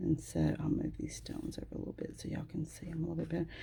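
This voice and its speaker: The speech is mumbled at a very fast pace. The tone is dark and mellow, with vocal fry. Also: woman. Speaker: nail technician. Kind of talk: tutorial. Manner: tends to mumble; casual, conversational.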